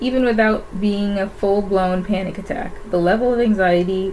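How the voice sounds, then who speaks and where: Noticeable background noise and audible room echo surround the recording. A woman speaks at a medium pitch and moderate pace with fairly even intonation. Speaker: YouTuber. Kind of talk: reading aloud from own diary. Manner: halting.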